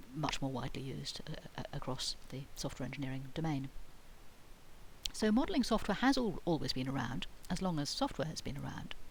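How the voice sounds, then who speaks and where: With a British accent and lively intonation, a woman with a very deep, low voice talks at a fairly quick pace amid audible room echo. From Britain. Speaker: university lecturer. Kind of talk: lecture. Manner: hesitant, many fillers and false starts.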